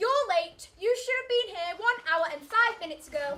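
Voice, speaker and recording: In a put-on character voice, the speaker sounds squeaky and extremely high-pitched, keeping a moderate pace. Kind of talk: archaic biblical declamation. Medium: stage play.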